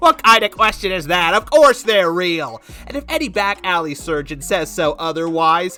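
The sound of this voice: A cartoonish character voice at middle pitch, with lively intonation, a moderate pace and faint music in the background.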